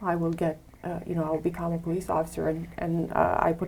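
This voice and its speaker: A woman with a Romanian accent speaks at a fairly quick pace. Her pitch is fairly low. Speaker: head of security. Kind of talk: interview. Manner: halting, many fillers.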